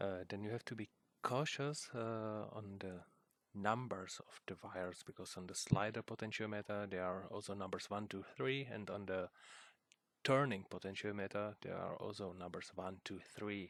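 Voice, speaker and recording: A man speaks with a non-native accent at a moderate pace. His pitch is fairly low and his intonation fairly even. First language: not English. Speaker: hobbyist video maker. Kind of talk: tutorial. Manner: halting, many fillers.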